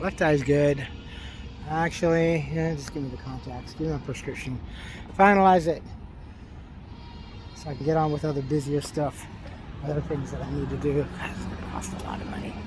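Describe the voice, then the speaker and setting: Over background music, a man speaks at a fairly quick pace with long, frequent pauses, and the room echo is audible. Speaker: vlogger. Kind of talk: casual vlog monologue. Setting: outdoors, walking. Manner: slurring words; hesitant, repetitive.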